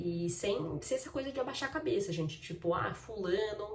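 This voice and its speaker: A woman's intonation is lively, heard through audible room echo with noticeable background noise behind her. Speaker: vlogger. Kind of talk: casual vlog talk.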